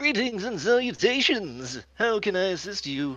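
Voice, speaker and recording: A put-on character voice at a middle pitch, with very wide pitch swings. The pace is moderate. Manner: cheerful, welcoming.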